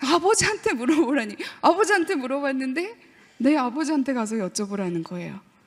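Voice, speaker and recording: A woman speaks at a moderate pace in a high pitch, her voice swinging very widely up and down. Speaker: professor giving lecture to teachers. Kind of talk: lecture. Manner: animated.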